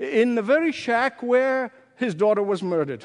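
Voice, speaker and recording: A man is speaking. The background is quiet. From Egypt. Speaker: pastor. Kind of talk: sermon.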